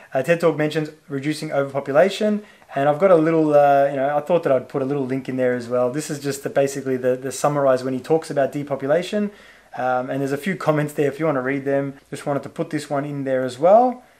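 In an Australian accent, a man talks at a very fast pace with a fairly high pitch. His tone is dark and mellow, his intonation fairly even. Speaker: YouTube channel creator. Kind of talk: solo video monologue commenting on on-screen material. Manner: casual with many filler words.

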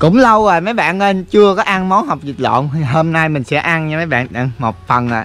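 A man speaks at a moderate pace with very wide pitch swings and hardly any pauses, in a dry sound with no echo. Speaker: vlogger. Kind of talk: casual vlog chat. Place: garden. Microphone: phone near.

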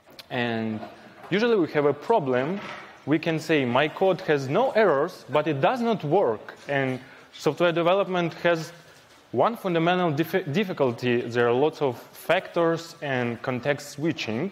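The man's intonation rises and falls in a lively way. He talks fairly slowly. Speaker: conference speaker. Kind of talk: lecture. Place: hall.

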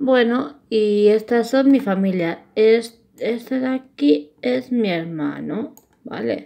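Very slow delivery with very wide pitch swings. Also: woman, fairly high pitch for a woman. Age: 20s. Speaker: YouTuber. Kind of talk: casual vlog narration. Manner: halting.

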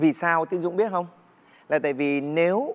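Lively intonation from a man. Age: 50s. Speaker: singer; talk show guest. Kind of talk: casual chat. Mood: earnest, explanatory. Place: studio.

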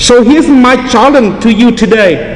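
A man speaks at a fairly slow pace with an extremely high pitch and ordinary pitch variation, with clear background noise behind him.

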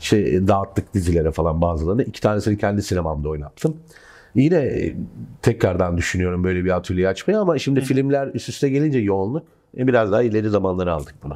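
A man speaks very fast with lively intonation, his fairly low pitch and dark, mellow tone set against a quiet background. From Turkey. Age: 30s. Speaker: film director; guest. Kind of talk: casual chat. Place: studio. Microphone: lapel.

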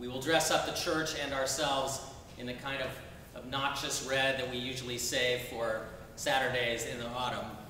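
A man at a moderate pace and medium pitch, with audible room echo and light background noise. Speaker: Episcopal bishop. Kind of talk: sermon. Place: church.

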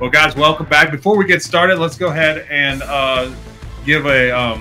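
Clear music plays in the background as the speaker moves at a fairly quick pace with ordinary pitch variation. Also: man. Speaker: show host. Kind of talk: podcast host intro. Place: studio. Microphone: studio mic.

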